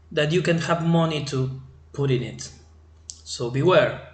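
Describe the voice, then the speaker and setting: Audible room echo surrounds a man speaking with an Argentine accent. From Argentina. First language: Spanish. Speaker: crypto trading channel host. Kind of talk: tutorial. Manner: halting, with many fillers. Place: home room. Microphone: webcam.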